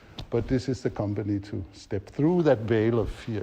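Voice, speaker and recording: Medium pitch from a man, somewhat breathy with a dark, mellow tone, fairly slow pace and ordinary pitch variation. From Denmark. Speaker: facilitation trainer. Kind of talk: workshop teaching.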